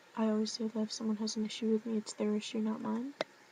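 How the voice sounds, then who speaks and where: A soft-spoken woman with a fairly high pitch, over noticeable background noise. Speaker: vlogger. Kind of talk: casual vlog talk. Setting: dorm room at night.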